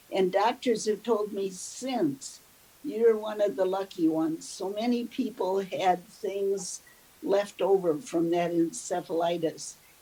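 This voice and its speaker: A woman with an Upper Midwest accent speaks at a medium pitch. Her pace is very slow. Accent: Upper Midwest (Minnesota). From US Midwest, southern Minnesota (Mankato). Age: 80s+. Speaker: elderly woman telling her life story. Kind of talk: oral history interview.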